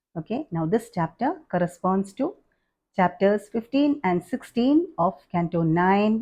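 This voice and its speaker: At a fairly slow pace, a woman speaks in a dark, mellow tone that is somewhat breathy, with very wide pitch swings. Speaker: spiritual teacher. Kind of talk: scripture lecture.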